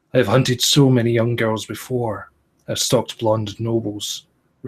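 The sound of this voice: Quiet surroundings and an unforced reading voice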